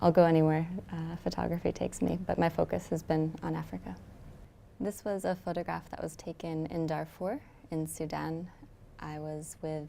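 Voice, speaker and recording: The voice has a dark, mellow tone and an American accent. Its intonation stays fairly even. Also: woman. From United States. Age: 30s. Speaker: photojournalist. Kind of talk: interview narration. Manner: hesitant, many fillers.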